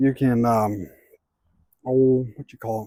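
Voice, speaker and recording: Recorded very cleanly against a silent background, a man with an American accent sounds dry and close, with no echo. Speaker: outdoor vlogger. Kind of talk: walking vlog narration. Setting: outdoors.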